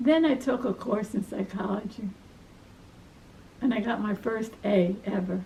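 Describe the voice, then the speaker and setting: A woman with a Brooklyn accent talks at a fairly slow pace with a fairly high pitch and ordinary pitch variation. She leaves long, frequent pauses over noticeable background noise. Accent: Brooklyn New York. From New York, Brooklyn. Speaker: life story interviewee, retired academic. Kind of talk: family life story interview.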